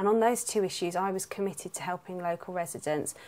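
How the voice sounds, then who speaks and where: A woman with a London accent, medium in pitch and fairly even in intonation. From South London. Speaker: local councillor and nurse. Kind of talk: campaign statement.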